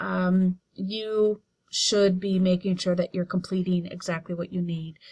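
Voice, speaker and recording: Very slowly and a little breathily, a woman speaks at a medium pitch with monotone, flat intonation. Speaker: college writing instructor. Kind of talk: tutorial.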